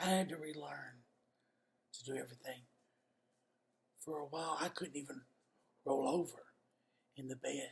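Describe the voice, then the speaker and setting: A man with a Kentucky accent speaks in a somewhat breathy voice. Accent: US Southern (Kentucky). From Kentucky (Somerset). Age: 50s. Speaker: real estate agent. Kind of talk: personal testimony. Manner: halting, pauses between sentences.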